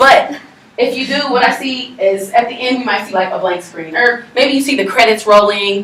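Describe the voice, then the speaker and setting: Over noticeable background noise and audible room echo, a woman speaks in a fairly high, animated voice with ordinary pitch variation. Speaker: college student presenter. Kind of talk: class presentation. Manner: fast.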